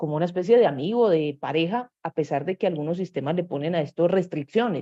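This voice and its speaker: Her tone is dark and mellow, with a fairly low pitch for a woman. She speaks at a fairly quick pace against a quiet background. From Medellín, Colombia. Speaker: course instructor. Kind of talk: online workshop lecture. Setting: live online stream.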